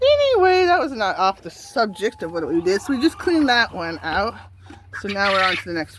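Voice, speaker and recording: A woman talks at a fairly quick pace, her loudness swinging widely. Noticeable background noise runs underneath. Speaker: backyard poultry keeper. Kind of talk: casual vlog while cleaning. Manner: halting.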